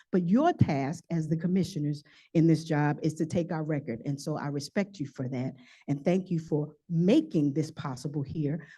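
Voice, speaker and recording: With an American accent, a woman talks at a fairly quick pace in a very deep, low pitch, her dark, mellow tone somewhat breathy. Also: lively intonation, quiet background. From New York City (Harlem). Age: 50s. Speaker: public hearing speaker. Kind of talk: testimony. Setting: public hearing with audience.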